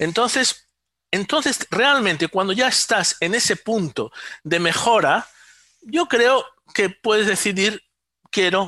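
In a raised, projected voice with a bright, sharp tone, a high-pitched man speaks at a fairly slow pace with lively intonation and very even loudness over a quiet background. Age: 50s. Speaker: neuroscientist and electronic engineer. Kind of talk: interview. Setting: remote call.

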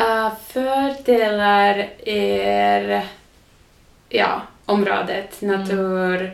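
In a Finnish accent, a woman talks very slowly with audible room echo. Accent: Finnish-accented Swedish. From southern Finland, near Turku. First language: Finnish (speaking Swedish). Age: 30s. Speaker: podcast guest. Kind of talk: casual interview. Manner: halting, with fillers; mixes in English words.

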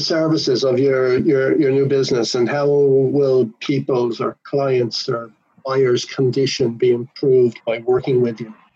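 A man at a medium pitch and moderate pace, hardly any pauses, an ordinary speaking voice. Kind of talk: interview.

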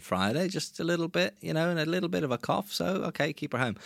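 With an English accent, a man speaks in very wide pitch swings on a very clean recording with a silent background. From England. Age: 30s. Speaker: musician. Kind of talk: casual chat.

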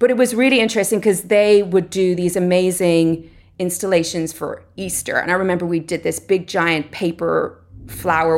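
This woman speaks with an Irish accent at a moderate pace. Her pitch sits at a medium level and varies in an ordinary way. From Ireland. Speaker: artist. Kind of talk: interview.

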